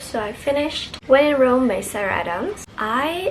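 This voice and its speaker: A woman with an Indonesian accent, ordinary pitch variation and noticeable background noise. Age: 20s. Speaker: book vlogger. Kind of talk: casual vlog book review.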